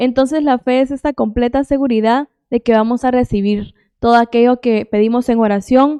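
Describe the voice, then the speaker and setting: A woman speaks at a high pitch with a dark, mellow tone and fairly even intonation, her loudness very even. The sound is dry and close with no echo, and her pace is moderate. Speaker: Bible teacher. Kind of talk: Bible teaching.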